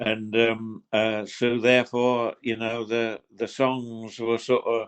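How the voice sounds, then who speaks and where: A man speaks in a Suffolk accent at a medium pitch. His pace is very slow. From Suffolk, England. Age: 80s+. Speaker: retired gamekeeper and traditional singer. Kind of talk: interview. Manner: halting, repeats words.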